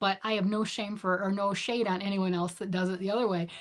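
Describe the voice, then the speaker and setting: Speaking in an American accent, this woman's voice sits at a medium pitch. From US Midwest, Michigan. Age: 50s. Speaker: knitting livestreamer. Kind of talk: casual livestream chat reading comments. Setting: home livestream. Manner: chatty, animated.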